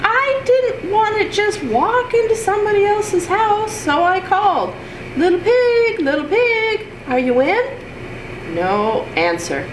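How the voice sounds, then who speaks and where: Using a squeaky, put-on character voice, a woman speaks at a fairly slow pace over loud background noise. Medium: read story. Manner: chatty, wheedling.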